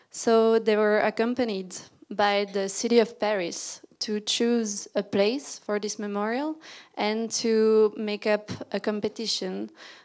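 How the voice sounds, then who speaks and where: A woman talks at a fairly slow pace in a French accent. Her fairly high voice stays monotone and flat. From Belgium (Brussels). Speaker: landscape architect. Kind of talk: lecture.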